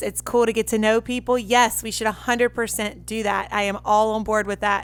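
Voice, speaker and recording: A woman's fairly high-pitched voice with a Southern US accent, monotone and flat, at a moderate pace. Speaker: podcast host and musician. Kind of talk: casual podcast monologue.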